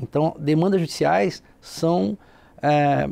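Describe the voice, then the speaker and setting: A man speaks with a dark, mellow tone at a fairly high pitch. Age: 40s. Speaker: public lawyer. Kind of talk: TV interview.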